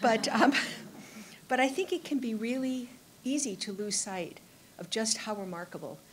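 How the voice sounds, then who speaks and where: Against light background noise, a woman speaks in a somewhat breathy voice. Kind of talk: public speech at press event. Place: hall. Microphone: podium.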